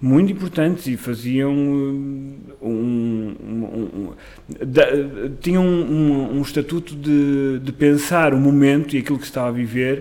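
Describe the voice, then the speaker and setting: With a dark, mellow tone, a man talks at a very slow pace. His pitch is fairly high, with ordinary pitch variation. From northern Portugal, Amarante. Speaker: actor and playwright. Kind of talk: casual chat. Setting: kitchen.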